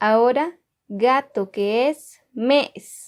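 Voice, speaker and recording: A woman speaks very slowly with a Guatemalan accent. Her voice is high-pitched. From Guatemala, K'iche' Maya community. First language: K'iche' (speaking Spanish). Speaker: language teacher. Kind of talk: tutorial. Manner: slow, clear repetition of words.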